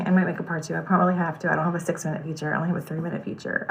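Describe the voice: The voice moves at a very fast pace. Noticeable background noise can be heard. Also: woman, fairly low pitch for a woman, fairly even intonation.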